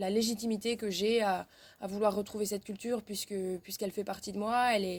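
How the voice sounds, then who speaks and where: In a very clean recording with a silent background, a woman speaks fairly quickly in a flat monotone at a medium pitch. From French Basque Country, then Burgundy. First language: Basque (speaking French). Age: 20s. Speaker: interviewee. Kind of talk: testimony. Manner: halting, many hesitations.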